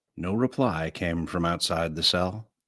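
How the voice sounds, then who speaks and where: A man puts on a character voice at a very deep, low pitch. He keeps a moderate pace. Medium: read story. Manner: brash, sardonic.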